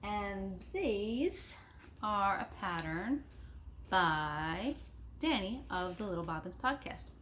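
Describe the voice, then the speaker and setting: There is audible room echo as a woman talks in an American accent. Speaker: knitting podcaster. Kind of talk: casual chat.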